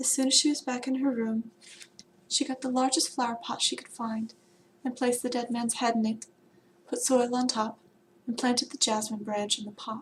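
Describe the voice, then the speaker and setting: A soft-spoken woman with a high pitch, fairly even intonation and a moderate pace, long, frequent pauses, and noticeable background noise. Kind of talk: read fairy tale, ASMR.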